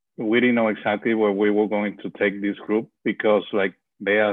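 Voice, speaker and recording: This man speaks with a Spanish accent at a fairly low pitch. His pace is moderate. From Venezuela. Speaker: bereavement ministry leader. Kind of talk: interview about grief.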